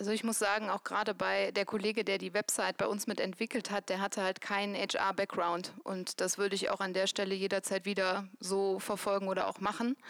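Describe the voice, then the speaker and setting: A woman's medium-pitched, monotone, flat voice at a fairly quick pace, very even in loudness with hardly any pauses, dry and close with no echo. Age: 30s. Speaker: employer branding manager. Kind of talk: live panel talk. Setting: stage with audience.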